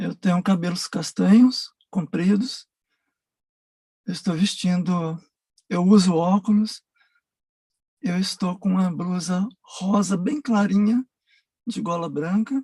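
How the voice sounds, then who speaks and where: In a dry, close sound with no echo, a woman with a dark, mellow, somewhat breathy voice at medium pitch speaks at a very slow pace, with ordinary pitch variation and long, frequent pauses. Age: 60s. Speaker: documentary subject, retired military. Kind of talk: personal testimony. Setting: video call. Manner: halting.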